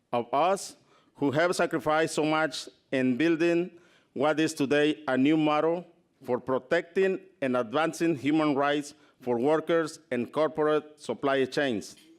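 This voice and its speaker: The recording is very clean, with a silent background. A man with a non-native accent talks at a fairly slow pace in a fairly even intonation. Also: fairly high pitch for a man, very even loudness. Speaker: farmworker rights advocate, award recipient. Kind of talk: award acceptance speech.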